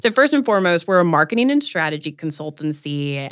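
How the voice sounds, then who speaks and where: A plain, everyday voice from a woman, fairly low in pitch, at a moderate pace, on a very clean recording with a silent background. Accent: American. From North Carolina. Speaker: marketing agency founder and startup accelerator leader. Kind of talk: interview conversation.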